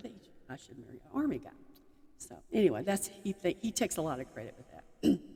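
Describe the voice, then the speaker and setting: Somewhat breathy, with a dark, mellow tone, a woman speaks in a Texan accent at a fairly quick pace with lively intonation. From Texas. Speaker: army chaplain's wife. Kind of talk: personal talk to audience.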